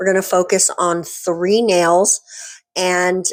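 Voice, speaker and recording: Very slowly, a woman speaks at a medium pitch. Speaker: nail art creator. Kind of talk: tutorial voiceover. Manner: halting, many fillers.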